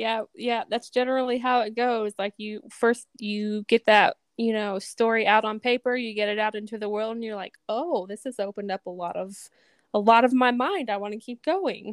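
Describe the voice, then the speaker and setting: This woman has an ordinary speaking voice with a fairly high pitch and fairly even intonation, her loudness swinging widely in a dry, close recording with no echo. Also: moderate pace. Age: 30s. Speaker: podcast host. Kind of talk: casual interview chat.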